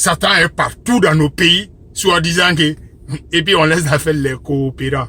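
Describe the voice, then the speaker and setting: The voice moves at a fairly slow pace, with very even loudness and ordinary pitch variation. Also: man, fairly high pitch for a man. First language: Bambara (speaking French). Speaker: religious commentator. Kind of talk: religious monologue. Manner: impassioned.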